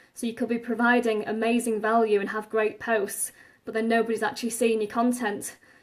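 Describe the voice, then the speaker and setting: The speaker has an English accent and a monotone, flat intonation. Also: woman. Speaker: online marketing coach. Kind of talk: live stream talk. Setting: Facebook Live video.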